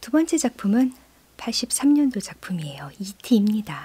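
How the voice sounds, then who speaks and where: A woman speaks fairly slowly in a dark, mellow, warm tone that is somewhat breathy. Her pitch swings very widely. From South Korea. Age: 40s. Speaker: radio host and composer; radio host. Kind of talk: radio music programme presenting. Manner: warm, conversational. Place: studio. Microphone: studio mic.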